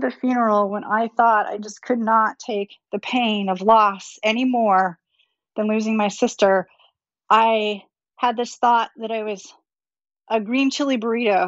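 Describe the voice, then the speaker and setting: Delivered at a fairly slow pace, a normal speaking voice carries ordinary pitch variation. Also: woman. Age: 50s. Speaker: CEO and technology futurist. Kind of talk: interview.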